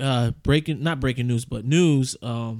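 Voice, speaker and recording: A man speaks fairly slowly in a normal speaking voice, medium in pitch, with ordinary pitch variation. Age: 30s. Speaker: podcast co-host. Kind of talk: casual chat.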